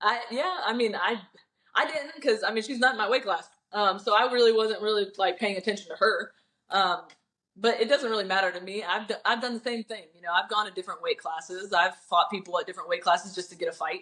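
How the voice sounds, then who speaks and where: Speaking at a very fast pace, a woman with a fairly high pitch and a bright, sharp tone shows ordinary pitch variation. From Florida and Alabama area, Wisconsin family. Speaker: bare-knuckle fighter. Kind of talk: interview.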